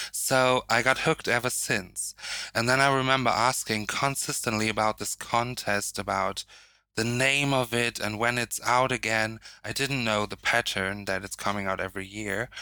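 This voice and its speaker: A man with a German accent, medium pitch and a bright, sharp tone, at a moderate pace with fairly even intonation, in a very clean recording with a silent background. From northern Germany. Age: 20s. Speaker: drag artist. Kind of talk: casual chat.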